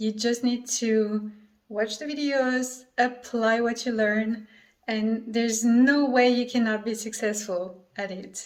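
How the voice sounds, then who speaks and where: Speaking at a fairly slow pace with a French accent, a woman uses a fairly high pitch and fairly even intonation. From France. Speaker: affiliate marketer. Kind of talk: sales pitch.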